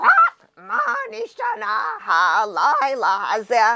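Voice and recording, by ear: A squeaky, put-on character voice at a fairly high pitch moves at a very slow pace.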